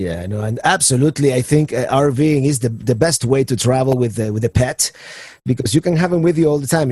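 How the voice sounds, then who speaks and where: Through noticeable background noise, a man with a Spanish accent talks very fast at a medium pitch with ordinary pitch variation. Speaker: podcast host. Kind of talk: podcast interview. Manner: halting, many repetitions.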